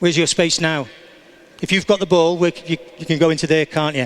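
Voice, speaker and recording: The man's pitch is high and his pace very fast. Noticeable background noise is present. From England. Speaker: soccer coach. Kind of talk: coaching demonstration. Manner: instructive, encouraging.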